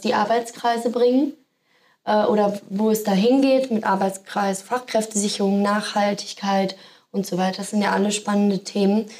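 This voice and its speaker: A woman at medium pitch, monotone and flat in intonation, at a moderate pace. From Sauerland, Germany. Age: 20s. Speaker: project assistant. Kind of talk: casual interview.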